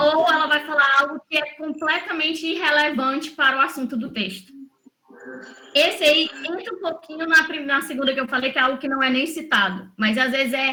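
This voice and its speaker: In a raised, projected voice, a woman with a high pitch speaks at a moderate pace with ordinary pitch variation. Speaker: English teacher, former lawyer. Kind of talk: online mentoring session, teaching.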